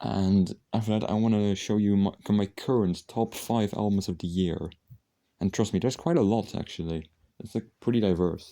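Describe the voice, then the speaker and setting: Quiet and dark, a man's mellow tone carries ordinary pitch variation. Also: fairly low pitch for a man, moderate pace, very clean recording, silent background. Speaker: music collection vlogger. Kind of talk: casual video monologue. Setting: at home late at night. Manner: speaking quietly; halting, many fillers and restarts.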